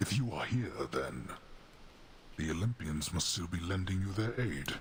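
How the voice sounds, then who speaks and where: A man's put-on character voice with very wide pitch swings at a moderate pace, over clear background noise. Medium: video game. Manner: stern, formal, grandiose.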